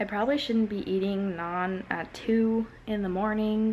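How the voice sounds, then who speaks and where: Soft-spoken and fairly slow, a woman speaks in a dark, mellow tone with monotone, flat intonation. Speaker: vlogger, college student. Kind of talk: casual vlog talk.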